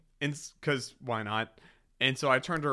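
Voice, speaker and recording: On a very clean recording with a silent background, a man with a slight Southern US accent speaks at a moderate pace in a bright, sharp tone. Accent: slight Southern twang. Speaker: podcast co-host. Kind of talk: casual chat. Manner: animated.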